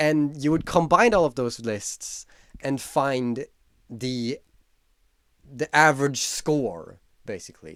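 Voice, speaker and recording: A man with a non-native accent at a fairly high pitch, lively intonation, a very slow pace and long, frequent pauses. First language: not English. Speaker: YouTuber. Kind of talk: casual vlog commentary. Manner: casual, with filler words.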